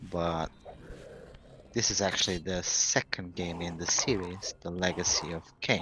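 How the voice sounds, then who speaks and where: A man with a non-native accent and a very deep, low pitch speaks fairly slowly with fairly even intonation. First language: not English. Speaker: gaming commentator. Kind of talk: let's play commentary. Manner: casual, conversational.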